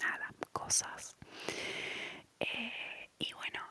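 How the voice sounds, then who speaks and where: Against noticeable background noise, a woman whispers in a relaxed tone. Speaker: ASMR content creator. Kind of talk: ASMR storytelling, casual talk to camera. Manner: soft, relaxed, whispery.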